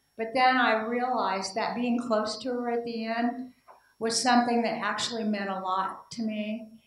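A woman with an American accent speaks at a moderate pace in a fairly high voice, her intonation monotone and flat, with audible room echo. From Indiana. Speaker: political science professor; conference presenter. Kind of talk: conference talk. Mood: reflective, warm. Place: hall. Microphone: handheld.

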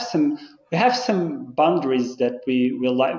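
A man with a Portuguese accent at a fairly slow pace, very wide pitch swings, and audible room echo. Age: 30s. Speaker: football club licensing manager; guest. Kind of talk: casual interview. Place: office. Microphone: video call.

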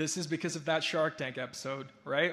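The tone here is bright and sharp. It belongs to a man. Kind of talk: ceremony speech. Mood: reflective, warm, lightly humorous. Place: hall. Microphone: podium.

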